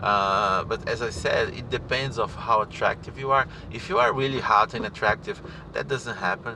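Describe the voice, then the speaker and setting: A man speaks at a moderate pace, his pitch shifting in an ordinary way while noticeable background noise continues. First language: not English. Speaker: spiritual teacher. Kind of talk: casual monologue. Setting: in a car. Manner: halting. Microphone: poor audio.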